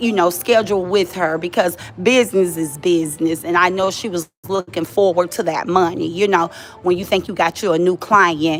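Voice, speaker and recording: An animated woman talks at a moderate pace with a fairly low pitch. Her pitch varies in an ordinary way, and there is noticeable background noise. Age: 40s. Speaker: live streamer. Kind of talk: casual chat. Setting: livestream. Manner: loud.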